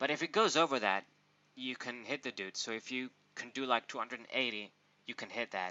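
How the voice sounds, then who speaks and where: A man speaks at a fairly quick pace with a non-native accent. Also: medium pitch for a man, ordinary pitch variation. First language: not English. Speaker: pokemon card reviewer. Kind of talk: casual card review monologue. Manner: hesitant, with fillers.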